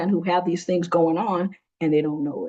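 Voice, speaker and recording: A woman speaks in a Detroit accent. The background is quiet. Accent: Detroit American English. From US Midwest, Detroit. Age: 60s. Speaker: social worker. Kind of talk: personal testimony presentation.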